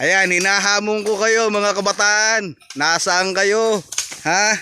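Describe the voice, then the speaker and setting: Over noticeable background noise, a man with a high pitch uses a raised, projected voice, speaking at a very slow pace with fairly even intonation. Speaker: farmer vlogger. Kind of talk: casual talk to camera.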